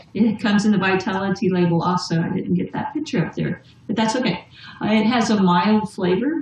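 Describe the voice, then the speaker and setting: A woman speaks at a fairly quick pace over noticeable background noise. Her pitch is medium, with ordinary variation. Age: 50s. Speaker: essential oils distributor. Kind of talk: casual chat.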